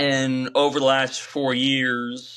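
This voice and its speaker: A man's bright, sharp tone over a quiet background. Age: 20s. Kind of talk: podcast interview. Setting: studio. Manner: halting, many fillers.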